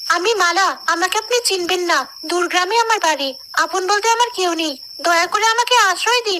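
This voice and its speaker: A cartoonish character voice, female-sounding and extremely high in pitch, at a moderate pace over clear background noise. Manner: scheming, coy.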